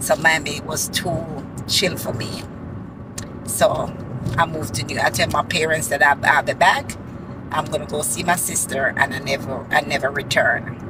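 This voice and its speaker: With a Jamaican accent, the speaker moves at a moderate pace, leaving long, frequent pauses over noticeable background noise. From Jamaica, Saint Thomas. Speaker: vlogger. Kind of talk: casual vlog talk. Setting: in a car.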